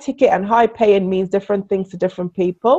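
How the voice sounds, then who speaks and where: With a Caribbean accent, a woman speaks at a medium pitch. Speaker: business coach. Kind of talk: interview.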